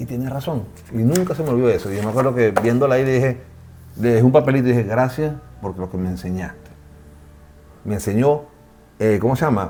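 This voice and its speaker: A man speaks at a very fast pace but leaves long, frequent pauses. His voice sits at a medium pitch with ordinary pitch variation. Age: 50s. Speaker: podcast host. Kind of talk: casual chat.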